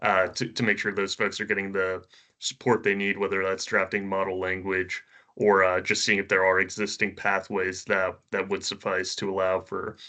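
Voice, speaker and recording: Against a quiet background, a man with a fairly low pitch and a bright, sharp tone speaks in a flat monotone at a moderate pace. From New England. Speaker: consulate trade liaison. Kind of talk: remote board meeting presentation. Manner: halting, many fillers and restarts.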